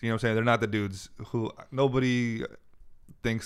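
Over a silent background in a very clean recording, a man with a Californian accent speaks at a fairly low pitch with monotone, flat intonation. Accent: Californian American. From US Bay Area. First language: Farsi. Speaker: comedian. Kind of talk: casual chat.

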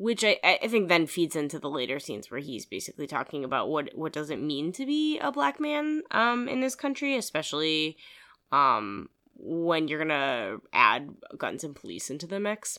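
With an American accent, a woman speaks in a bright, sharp tone at a very deep, low pitch, her pitch swinging very widely in a very clean recording with a silent background. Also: moderate pace. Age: 30s. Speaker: podcast co-host. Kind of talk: casual chat. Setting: home room at parents' house.

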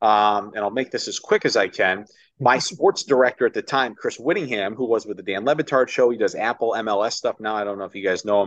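A man with an American accent and a normal speaking voice talks fairly quickly at a medium pitch, with ordinary pitch variation and hardly any pauses. The sound is dry and close with no echo, over a quiet background. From upstate New York (Ithaca). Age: 30s. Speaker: baseball radio play-by-play announcer. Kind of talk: casual interview chat. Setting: video call.

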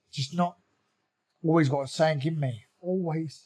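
This man has a South London accent and a fairly high pitch. His tone is dark and mellow, with ordinary pitch variation. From South London (Croydon), England. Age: 40s. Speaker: bare knuckle fighter and former pro boxer. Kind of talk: interview, personal life story.

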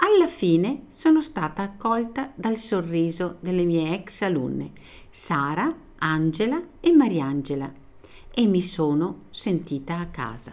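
Very slow, widely swinging pitch in a woman's speech. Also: fairly low pitch for a woman. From Italy, Veneto. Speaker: teacher. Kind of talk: scripted narration.

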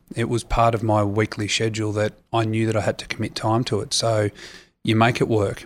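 A man in an Australian accent talks fairly quickly with monotone, flat intonation on a very clean recording with a silent background. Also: medium pitch for a man. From Australia, Sydney. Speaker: retired rugby player. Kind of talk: interview. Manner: hesitant, many fillers.

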